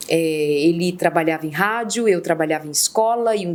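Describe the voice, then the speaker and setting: Her pace is fairly slow and her intonation lively. The woman uses a normal speaking voice. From Ceará, Brazil. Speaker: interview guest, humorist. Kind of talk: casual interview.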